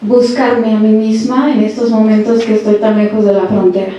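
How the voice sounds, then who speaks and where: Noticeable background noise and audible room echo surround a woman's voice. It is fairly high, with monotone, flat intonation. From Tijuana, Mexico. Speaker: audience member, researcher. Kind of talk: audience question at panel.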